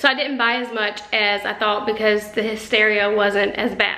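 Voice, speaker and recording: Moderately paced speech from a woman. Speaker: vlogger. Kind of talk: casual vlog chat. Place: kitchen. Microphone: phone near.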